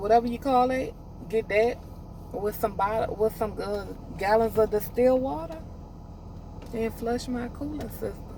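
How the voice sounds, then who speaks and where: Against noticeable background noise, a woman with a fairly high pitch and ordinary pitch variation speaks at a moderate pace, leaving long, frequent pauses. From US South. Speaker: trucking student vlogger. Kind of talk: casual vlog monologue. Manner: halting, repeats words; rambling, conversational.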